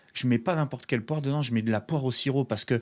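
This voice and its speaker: The recording is very clean, with a silent background. A man talks at medium pitch with fairly even intonation. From France. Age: 30s. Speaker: pastry chef. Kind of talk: podcast interview. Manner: hesitant, many fillers.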